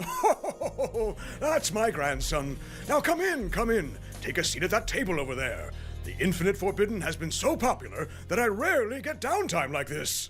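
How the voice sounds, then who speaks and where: A man uses a put-on character voice pitched high. Clear background noise runs underneath. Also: moderate pace. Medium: dub.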